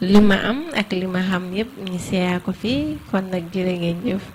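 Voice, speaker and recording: A woman's medium-pitched voice with fairly even intonation over noticeable background noise. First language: Wolof. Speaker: podcast co-host. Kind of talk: closing remarks. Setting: studio.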